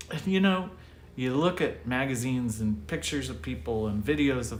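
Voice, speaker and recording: Somewhat breathy, a man talks at a moderate pace amid audible room echo. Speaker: pastor. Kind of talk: livestreamed devotional message. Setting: live online broadcast from his desk. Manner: casual, conversational.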